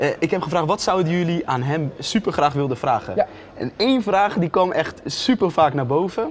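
An animated man with a high pitch and lively intonation at a moderate pace, over light background noise. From Netherlands. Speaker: vlogger interviewing a politician. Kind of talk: casual interview. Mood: playful, laughing. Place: studio. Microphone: lapel.

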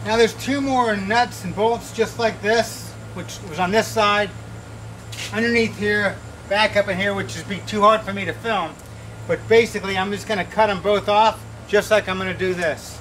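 The pace is moderate. There is light background noise. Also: man. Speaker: home DIY vlogger. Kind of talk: tutorial. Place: street.

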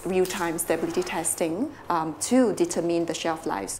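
A woman speaks with a fairly low pitch. Clear music plays in the background. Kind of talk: interview answer. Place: shop.

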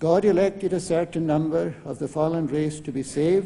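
A man with a dark, mellow tone talks at a moderate pace with fairly even intonation. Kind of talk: lecture. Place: hall. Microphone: podium.

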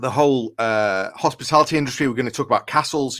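A man's pitch varies in an ordinary way, with a quiet background behind him. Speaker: host of business chat show. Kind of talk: interview questions, casual chat. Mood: jovial, laughing. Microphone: earbuds.

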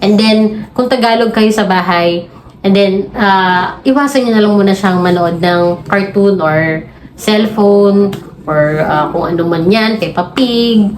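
Over noticeable background noise and audible room echo, a woman speaks at a very slow pace with very even loudness and ordinary pitch variation. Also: medium pitch for a woman. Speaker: pediatrician and parenting video creator. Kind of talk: educational tutorial. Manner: polite, uses respectful po.

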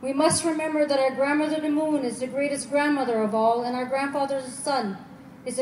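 A woman talks at a fairly quick pace in a high voice with ordinary pitch variation and a solemn, warm tone. Room echo is audible, and there is light background noise. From Quebec, Algonquin community. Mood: solemn, reverent. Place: open country. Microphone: camera far.

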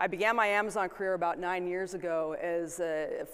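A woman speaks with an American accent at a fairly low pitch. Her intonation stays fairly even.

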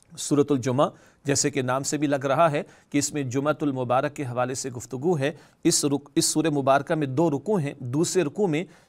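Intonation stays fairly even. The background is quiet. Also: man. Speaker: religious teacher. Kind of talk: lecture. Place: studio. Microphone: lapel.

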